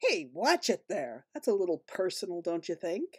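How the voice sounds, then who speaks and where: The speaker puts on a character voice. It has a rumbling sound. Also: woman, medium pitch for a woman, moderate pace. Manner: dry, mildly indignant.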